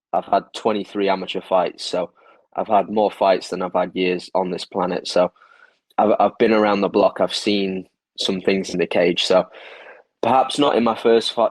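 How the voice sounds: A man talks at a moderate pace in a low voice with little pitch movement.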